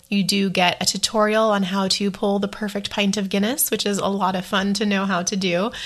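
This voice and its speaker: Her tone is enthusiastic as the woman talks at a fairly quick pace in a medium pitch. She keeps her loudness very even. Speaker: travel podcaster. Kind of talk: solo podcast monologue, casual. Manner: chatty, enthusiastic.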